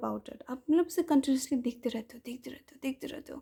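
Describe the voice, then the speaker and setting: This woman's voice sits high in pitch. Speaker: ASMR creator. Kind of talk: casual talk to camera, Q&A session. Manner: soft, conversational.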